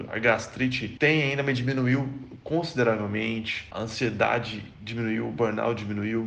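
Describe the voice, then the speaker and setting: Amid noticeable background noise and audible room echo, a man speaks at a medium pitch with fairly even intonation. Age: 30s. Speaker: software developer. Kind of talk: testimony.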